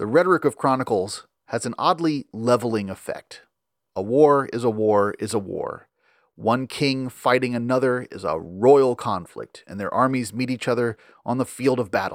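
In a normal speaking voice, a man talks at a medium pitch and moderate pace with ordinary pitch variation, recorded very cleanly against a silent background with a dry, close sound and no echo. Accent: American. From US South, Memphis, Tennessee. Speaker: podcast host, medieval history. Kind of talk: scripted narration with readings from a medieval chronicle.

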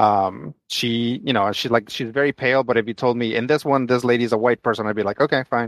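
In a plain, everyday voice, a man of medium pitch talks at a fairly quick pace with fairly even intonation and hardly any pauses, in a dry, close sound with no echo over a quiet background. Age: 40s. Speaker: comic book podcast co-host. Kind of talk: casual chat.

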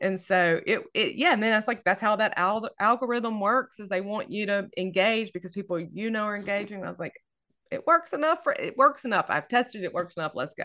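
In a Southern US accent, a woman with a fairly high pitch speaks fairly quickly, her tone animated, bright and sharp, her intonation lively. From US South, North Louisiana. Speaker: novelist. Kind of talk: casual chat.

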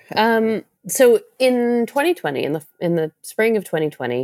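A woman at a moderate pace, pitch swinging very widely, in a dry, close sound with no echo. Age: 40s. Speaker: novelist. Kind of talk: interview.

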